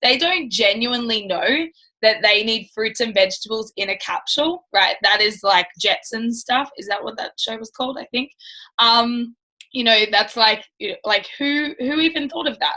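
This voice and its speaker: Loud and bright with a sharp tone, a woman speaks at a moderate pace in a fairly high pitch with ordinary pitch variation. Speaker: network marketing team leader. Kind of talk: live training talk. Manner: casual, filler-heavy.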